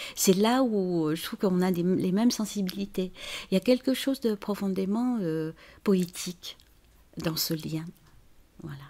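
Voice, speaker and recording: Speaking at a fairly slow pace with long, frequent pauses, a woman with a medium pitch and ordinary pitch variation is heard on a very clean recording with a silent background. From China. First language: Chinese (speaking French). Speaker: author and translator. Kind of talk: interview. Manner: halting, many hesitations.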